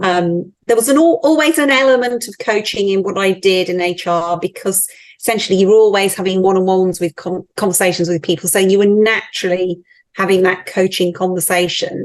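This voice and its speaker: A woman speaks in a British accent at a fairly quick pace. Her medium pitch shows ordinary variation. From UK. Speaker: team coach and author. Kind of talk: interview conversation.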